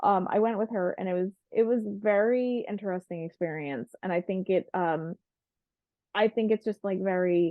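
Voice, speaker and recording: A woman talks at a medium pitch. Her pitch varies in an ordinary way. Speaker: podcast co-host. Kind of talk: casual chat. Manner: fast.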